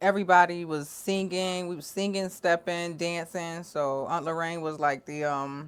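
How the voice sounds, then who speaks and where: A woman with an American accent and a fairly low voice speaks at a moderate pace with fairly even intonation and hardly any pauses. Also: very clean recording, silent background. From Rochester, New York, raised by North Carolina family. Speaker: rap artist. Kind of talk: casual interview chat.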